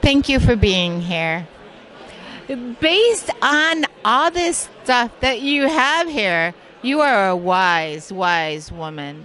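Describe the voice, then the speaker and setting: A woman speaks at a very slow pace and a fairly high pitch, with very wide pitch swings. Noticeable background noise is present. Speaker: interviewer. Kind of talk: interview question. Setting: expo floor.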